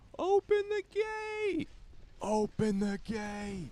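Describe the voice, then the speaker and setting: A man uses a put-on character voice pitched extremely high. He speaks very slowly, and his pitch swings very widely. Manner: loud, shouting, urgent.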